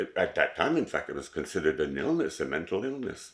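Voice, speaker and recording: This man speaks in a Montreal accent. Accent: English-speaking Montreal Canadian. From Montreal, Quebec. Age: 70s. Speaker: oral history interviewee. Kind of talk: oral history interview. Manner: hesitant, with fillers and repetitions.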